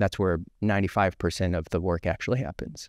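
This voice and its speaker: Against a quiet background, a man speaks at a moderate pace in a very deep, low voice with ordinary pitch variation and a dry sound with no echo. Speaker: guest. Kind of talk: interview answer. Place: studio. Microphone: studio mic.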